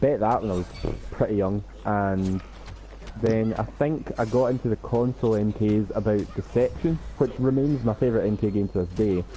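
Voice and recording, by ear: A man with a Scottish accent, a dark, mellow tone, fairly low pitch, ordinary pitch variation, and a moderate pace.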